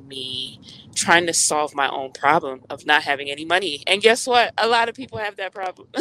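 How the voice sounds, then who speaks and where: With an American accent, a woman speaks at a moderate pace. Her tone is bright and sharp and her intonation lively. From Miami, Florida (Jamaican American). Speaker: pet transport business founder. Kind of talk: interview. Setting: on the road.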